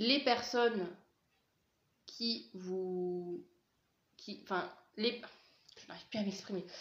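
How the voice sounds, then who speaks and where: A woman speaks at a very slow pace, leaving long, frequent pauses. Her loudness rises and falls sharply. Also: medium pitch for a woman, ordinary pitch variation. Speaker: tarot card reader. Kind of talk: tarot reading to camera. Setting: filmed face cam. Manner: hesitant, many fillers.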